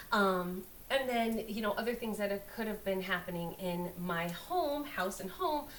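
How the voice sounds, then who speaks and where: Audible room echo around medium-speed speech with typical pitch movement. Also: woman, medium pitch for a woman. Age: 50s. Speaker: astrologer. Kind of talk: casual astrology talk to camera. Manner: casual, hesitant with many fillers.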